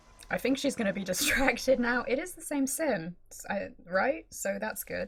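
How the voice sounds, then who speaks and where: A woman's voice with big swings in loudness over noticeable background noise. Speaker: gaming YouTuber. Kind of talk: gameplay commentary. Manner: fast.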